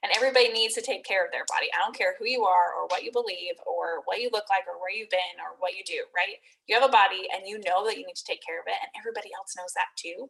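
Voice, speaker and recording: A woman races along at a very fast pace with hardly any pauses and big swings in loudness. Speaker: network marketing fitness coach. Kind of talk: recruitment sales pitch.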